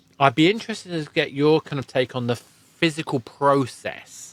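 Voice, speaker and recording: In a British accent, a man talks at a moderate pace. The recording is very clean with a silent background and a dry, close sound with no echo. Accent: British received pronunciation. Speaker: podcast host. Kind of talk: interview conversation.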